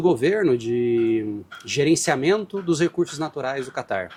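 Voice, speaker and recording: A man with a Brazilian accent, speaking at a fairly slow pace. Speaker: marine scientist, professor. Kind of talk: interview. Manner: hesitant, with fillers.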